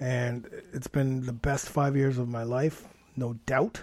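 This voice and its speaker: A man speaks with a Canadian accent. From Toronto, Canada. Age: 40s. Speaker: fitness coach and podcast host. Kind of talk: podcast monologue. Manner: animated.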